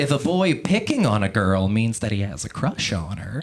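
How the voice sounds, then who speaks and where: Noticeable background noise sits under a man's voice. He speaks at a fairly slow pace with very wide pitch swings. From Louisiana. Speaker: stand-up comedian. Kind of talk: stand-up. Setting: comedy club stage with audience.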